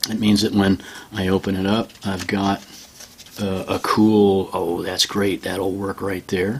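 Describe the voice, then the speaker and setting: This man's voice has a fairly low pitch. Background noise can be clearly heard. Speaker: art teacher. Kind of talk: tutorial. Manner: casual, halting with fillers.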